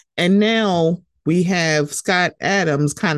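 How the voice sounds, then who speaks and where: A woman speaks at a fairly low pitch in an ordinary speaking voice, with ordinary pitch variation. The sound is dry and close with no echo, over a quiet background. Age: 40s. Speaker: podcast host. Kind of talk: solo podcast commentary. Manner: casual, conversational.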